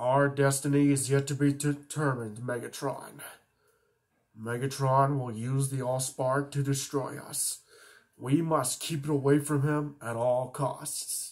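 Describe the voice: A man's put-on character voice, medium-pitched and monotone with flat intonation, at a fairly slow pace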